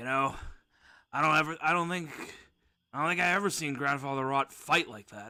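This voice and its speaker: A man's put-on character voice, raised and projected, croaky and raspy, fairly high in pitch, at a fairly quick pace with long, frequent pauses. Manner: croaking.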